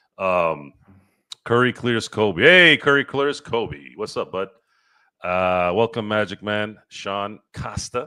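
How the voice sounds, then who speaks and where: A man with an American accent speaks very slowly and loudly, his fairly low voice bright and sharp in tone, with lively intonation. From central California, US. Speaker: sports talk show host. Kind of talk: casual sports talk livestream. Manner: animated.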